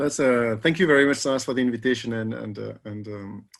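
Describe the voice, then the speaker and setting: A man with a French accent at a very fast pace. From France. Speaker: economics professor, researcher. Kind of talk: panel discussion answer. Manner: halting, many repetitions and fillers.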